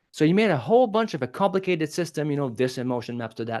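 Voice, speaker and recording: With a French accent, a man speaks in an animated tone with very wide pitch swings. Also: quiet background. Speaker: public speaking coach. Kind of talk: podcast interview. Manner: animated, fast.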